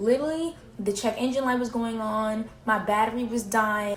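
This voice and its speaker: Over noticeable background noise, a woman speaks at a fairly high pitch with ordinary pitch variation. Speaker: vlogger. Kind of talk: casual vlog monologue. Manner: fast.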